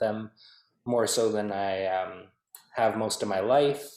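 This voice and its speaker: A man speaks with a Canadian accent. His pitch sits in the medium range. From Manitoba, Canada (Peguis First Nation). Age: 20s. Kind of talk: interview. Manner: hesitant, many fillers.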